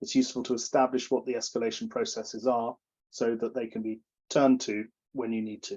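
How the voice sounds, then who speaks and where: A man talks at a very rapid clip. His intonation stays fairly even. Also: medium pitch for a man. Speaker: project management coach. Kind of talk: webinar presentation. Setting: video webinar with screen sharing. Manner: fast; halting, many fillers and repetitions.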